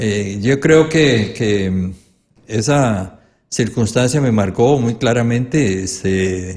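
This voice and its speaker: A man's medium-pitched voice at a very slow pace, with ordinary pitch variation. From Costa Rica, Pital de San Carlos (rural Alajuela). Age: 70s. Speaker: legislator and educator. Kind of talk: interview.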